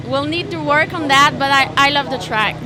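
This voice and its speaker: A woman speaks with a Quebec French accent. The room echo is audible and background noise is noticeable. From Quebec, Canada. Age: 20s. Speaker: motocross racer. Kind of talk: press conference interview.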